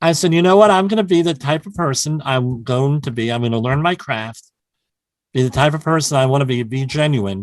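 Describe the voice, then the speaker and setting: Against a quiet background, a man with a New Jersey accent talks at a fairly quick pace in a fairly high pitch with lively intonation. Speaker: health and safety consultant. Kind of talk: podcast interview.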